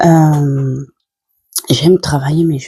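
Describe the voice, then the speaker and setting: A soft-spoken woman talks at a very slow pace. The sound is dry and close, with no echo. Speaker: tarot card reader. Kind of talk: casual chat. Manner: halting.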